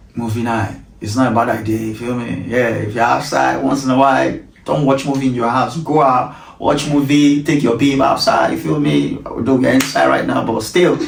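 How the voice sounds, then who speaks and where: A man talks at a moderate pace over noticeable background noise, with audible echo from the room. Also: medium pitch for a man, ordinary pitch variation. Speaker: talk show host. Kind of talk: casual interview chat. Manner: halting, stammers and repeats words.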